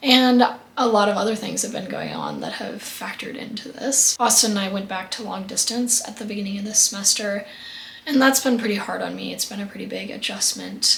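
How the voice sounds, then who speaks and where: A woman speaks at a moderate pace and medium pitch, her intonation fairly even, with noticeable background noise. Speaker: lifestyle vlogger. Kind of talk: casual vlog monologue.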